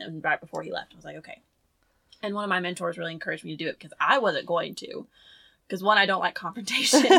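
Talking at a very fast pace with big swings in loudness, a woman speaks in a Southern US accent. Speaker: podcast co-host. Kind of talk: casual chat.

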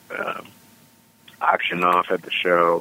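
Over noticeable background noise, a man with a very deep, low pitch speaks at a fairly slow pace. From US East Coast, Washington DC. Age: 30s. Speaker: stand-up comedian. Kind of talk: casual chat.

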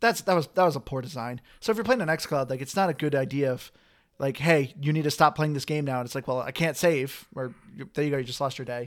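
The recording is very clean, with a silent background. A man talks very fast at a fairly high pitch. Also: ordinary pitch variation. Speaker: podcast host. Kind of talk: casual chat.

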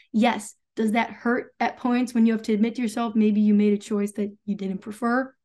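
In a very clean recording with a silent background, a woman speaks at a moderate pace with a fairly high pitch, a dark, mellow tone and a somewhat breathy quality. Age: young. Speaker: spiritual content creator. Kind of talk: casual chat.

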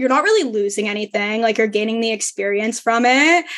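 With ordinary pitch variation, a woman moves through her words at a fairly quick pace. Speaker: law student and podcast host. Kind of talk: casual chat. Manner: loud, over the top.

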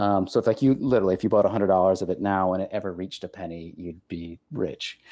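The voice has a dark, mellow tone and moves at a very fast pace. There are hardly any pauses. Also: man, very deep, low pitch for a man, ordinary pitch variation. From Texas. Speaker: podcast host.

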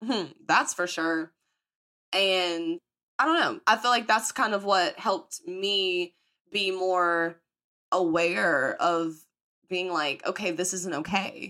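A woman with a Southern US accent at a very slow pace, with long, frequent pauses and ordinary pitch variation, on a very clean recording with a silent background. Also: medium pitch for a woman. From US South. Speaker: podcast host. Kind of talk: casual chat. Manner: animated.

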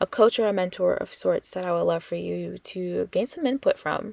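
Heard in a dry, close sound with no echo, a woman talks at a moderate pace. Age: 20s. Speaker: podcast host. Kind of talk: solo podcast intro, casual monologue. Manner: casual, with frequent fillers.

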